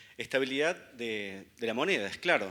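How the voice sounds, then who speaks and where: A man with a Córdoba accent speaks in a bright, sharp tone with lively intonation. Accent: Argentine Córdoba. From Argentina, Córdoba. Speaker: economist speaker. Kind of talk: conference talk.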